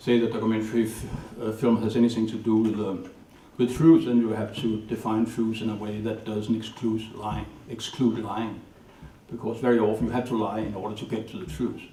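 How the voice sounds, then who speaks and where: In a Danish accent, the speaker moves at a fairly quick pace with monotone, flat intonation, amid noticeable background noise and audible room echo. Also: man. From Denmark, north of Copenhagen. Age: 60s. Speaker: documentary filmmaker. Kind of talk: lecture. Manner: halting.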